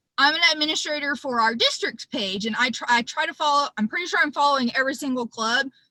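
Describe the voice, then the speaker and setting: A woman talks in a raised, projected voice at a high pitch, her intonation lively and her pace fairly quick. The sound is dry and close, with no echo. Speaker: public image chair of a service club. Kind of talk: virtual presentation / training. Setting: video call from her car.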